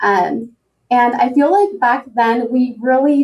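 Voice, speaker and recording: Pitched fairly high, a woman talks with a Spanish accent. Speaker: healthcare administrator. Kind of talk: interview. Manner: casual, frequent fillers.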